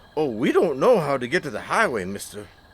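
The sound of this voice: A man does a put-on character voice at medium pitch with very wide pitch swings. His fairly bright tone has a slightly husky edge, and the pace is fairly quick.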